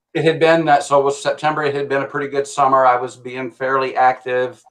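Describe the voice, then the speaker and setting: Talking at a very fast pace, a man holds a fairly high pitch with monotone, flat intonation. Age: 60s. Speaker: guest sharing weight-loss story. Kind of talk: interview testimony. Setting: livestream. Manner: halting.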